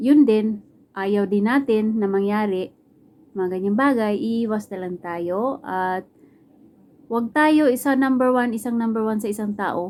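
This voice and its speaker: An ordinary speaking voice from a woman, fairly slow, with ordinary pitch variation. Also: fairly high pitch for a woman. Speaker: vlogger. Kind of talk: casual vlog talk. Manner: chatty, casual.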